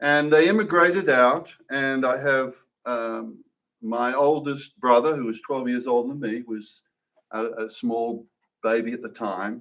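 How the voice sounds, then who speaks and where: With an Australian accent, a man speaks at a fairly slow pace with a medium pitch and ordinary pitch variation. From Australia, Perth, Western Australia. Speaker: church member giving testimony. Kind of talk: testimony. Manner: halting, many fillers and restarts.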